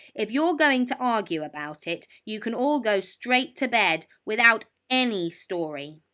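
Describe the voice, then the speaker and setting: A woman puts on a character voice, raised and projected, at a moderate pace in a very clean recording with a silent background. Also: fairly high pitch for a woman. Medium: read story.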